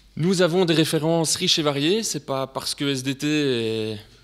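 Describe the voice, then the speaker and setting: This man speaks with a Belgian accent. His pitch varies in an ordinary way. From Belgium. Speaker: sales representative presenting technology. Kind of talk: technical presentation to students. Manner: hesitant with frequent fillers.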